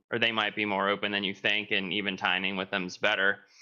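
A man speaks in an American accent at a fairly low pitch. His intonation is monotone and flat. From Pennsylvania. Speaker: dairy farmer and show cattle breeder. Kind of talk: webinar panel discussion.

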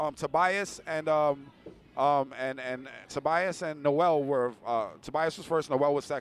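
A man with a New York accent speaks at a fairly slow pace, his pitch fairly high and his intonation fairly even. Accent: New York City (Bronx). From New York City, the Bronx. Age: 30s. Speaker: bike race organizer. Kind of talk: casual chat. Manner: casual, halting with fillers.

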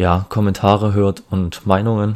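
Flat, monotone speech from a man with a fairly low pitch. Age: 20s. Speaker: podcast host. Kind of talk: solo podcast intro monologue. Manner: hesitant, many filler sounds.

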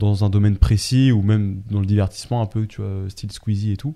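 Fairly quick delivery, fairly even intonation and a dark, mellow tone. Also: man. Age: 20s. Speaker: entrepreneur, data intelligence specialist. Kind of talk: casual chat. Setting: studio.

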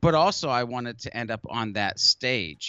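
A man with a normal speaking voice talks at a moderate pace, medium pitch and ordinary pitch variation. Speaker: marketing tutorial YouTuber, workshop trainer. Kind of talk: casual interview.

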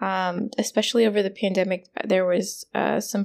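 A woman speaks in a monotone, flat intonation. The recording is very clean, with a silent background. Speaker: yoga teacher and podcast host. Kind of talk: solo podcast tutorial.

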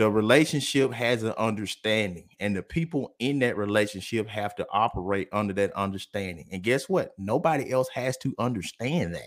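A man with a Mississippi accent and medium pitch talks at a moderate pace with hardly any pauses and ordinary pitch variation, on a very clean recording with a silent background. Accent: Southern US (Mississippi). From US South, Columbus, Mississippi. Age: 30s. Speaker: businessman. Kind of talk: casual chat.

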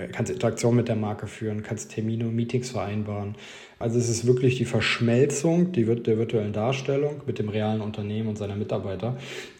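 Amid noticeable background noise and audible room echo, a man speaks at a fairly quick pace in a medium pitch with ordinary pitch variation. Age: 30s. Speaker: marketing consultant. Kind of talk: interview.

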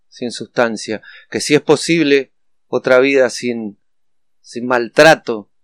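On a very clean recording with a silent background and a dry, close sound with no echo, a man speaks at a medium pitch and a very slow pace. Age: 40s. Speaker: addiction counselor. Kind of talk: podcast monologue. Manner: halting, frequent fillers.

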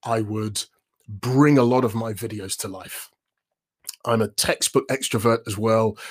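This man has a London accent and an energetic tone. His pitch is medium with ordinary variation. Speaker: voiceover artist and presenter coach. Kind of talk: casual interview. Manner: upbeat.

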